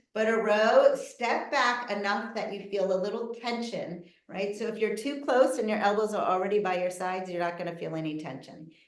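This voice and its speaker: Hardly pausing, a woman talks at a fairly quick pace and medium pitch. Her pitch varies normally, and the room echo is audible. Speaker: physical therapist. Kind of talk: live online presentation with exercise demonstration.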